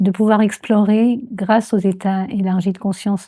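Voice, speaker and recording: A somewhat breathy woman at medium pitch, speaking at a very slow pace in a very clean recording with a silent background. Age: 70s. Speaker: transpersonal psychology trainer. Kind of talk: interview answer.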